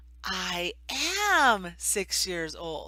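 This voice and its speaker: In an animated tone, a woman talks. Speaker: online ESL teacher and tutorial vlogger. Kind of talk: tutorial. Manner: animated, big smile.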